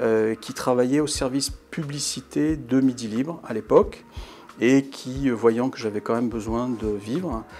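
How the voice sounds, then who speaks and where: With music in the background, a man speaks at a fairly slow pace and a medium pitch. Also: ordinary pitch variation. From southern France, Montpellier region. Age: 60s. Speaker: journalist. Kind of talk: interview testimony about career. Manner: hesitant, many filler sounds.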